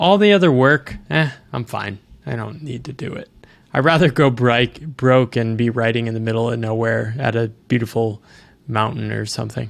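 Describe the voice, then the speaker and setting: A man with an American accent speaks at a moderate pace, with medium pitch and ordinary pitch variation. His is an unremarkable speaking voice, with big swings in loudness. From US East Coast. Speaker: author. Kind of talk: casual interview conversation.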